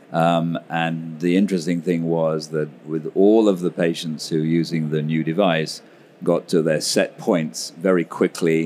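In a British accent, a man speaks with a very deep, low pitch. His delivery is monotone and flat at a fairly slow pace. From UK. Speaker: pediatric anesthesiologist. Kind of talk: interview.

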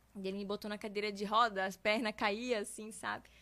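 Heard in a very clean recording with a silent background, a woman at a medium pitch speaks with a bright, sharp tone, fairly even intonation and a moderate pace. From southern Brazil, Santa Catarina (Guabiruba). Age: 20s. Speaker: faith testimony guest. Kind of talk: testimony.

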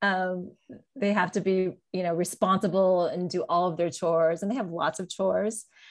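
A woman with a plain, everyday voice talks at a moderate pace. Her medium pitch holds fairly even intonation. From US, moved around (LA suburbs, Atlanta, New York City). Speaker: mother of three sons. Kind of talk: casual chat. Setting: podcast recording.

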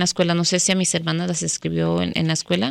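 A woman at a very fast pace in a very clean recording with a silent background. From Mexico, Guadalajara; raised in US from early childhood. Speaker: public defense lawyer. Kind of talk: radio interview. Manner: halting, many repetitions and fillers.

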